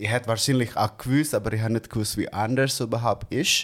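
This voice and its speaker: A man speaks with an Indonesian accent and fairly even intonation. The recording is very clean, with a silent background. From Indonesia, Bandung. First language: Indonesian (speaking German). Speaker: barista. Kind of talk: casual chat.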